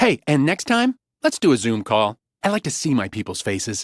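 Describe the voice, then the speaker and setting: A man puts on a cheerful character voice at a medium pitch and a moderate pace. The sound is dry and close with no echo, on a very clean recording with a silent background. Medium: read story. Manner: breezy, cheerful.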